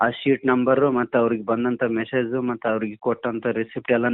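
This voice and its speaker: Here is a man with a medium pitch. His intonation is monotone and flat. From Gadag district, North Karnataka, India. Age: 30s. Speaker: blind caller, musician. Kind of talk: phone-in conversation. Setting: phone call. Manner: halting.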